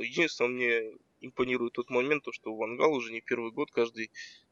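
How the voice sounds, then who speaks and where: This man has an ordinary speaking voice, medium in pitch and moderate in pace. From Kazakhstan, Karaganda. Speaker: fan and expert commentator.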